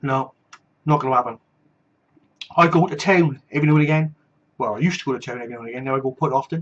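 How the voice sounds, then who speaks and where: A man with a Welsh accent, fairly high in pitch with ordinary pitch variation, animated in tone, at a very fast pace broken by long, frequent pauses and big swings in loudness. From Wales. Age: 40s. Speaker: vlogger. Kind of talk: casual personal video blog with ranting. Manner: animated, ranting.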